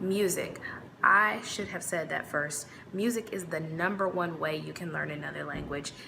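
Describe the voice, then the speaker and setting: Noticeable background noise and audible room echo surround a woman with a Midwestern accent. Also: fairly low pitch for a woman, ordinary pitch variation, moderate pace. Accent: Midwest American. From US Midwest. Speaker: YouTuber. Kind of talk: casual vlog talk.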